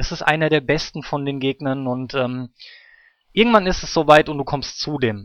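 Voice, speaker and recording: The speaker has a normal speaking voice with ordinary pitch variation. The pace is moderate. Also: man, fairly high pitch for a man. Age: 30s. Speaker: gaming podcast host. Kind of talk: casual chat.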